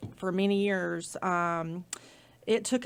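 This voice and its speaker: Recorded very cleanly over a silent background, a woman speaks with a Southern US accent. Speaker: nonprofit project manager. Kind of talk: casual interview segment, telling a veteran's story. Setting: studio.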